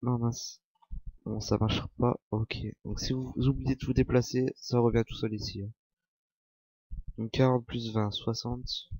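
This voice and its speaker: The voice has a dark, mellow tone and a monotone, flat intonation, moving at a fairly slow pace with long, frequent pauses. The sound is dry and close, with no echo. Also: man, medium pitch for a man. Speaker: software tutorial youtuber. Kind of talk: screen-recorded tutorial. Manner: casual, halting.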